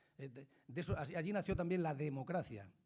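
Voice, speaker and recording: A man with an ordinary speaking voice talks at a fairly high pitch with ordinary pitch variation. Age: 60s. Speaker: politician. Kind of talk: talk to school students.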